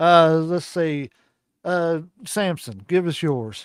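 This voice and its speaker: A man speaks at a fairly high pitch in a Kentucky accent. The recording is very clean, with a silent background. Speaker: wrestling podcast host. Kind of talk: casual chat.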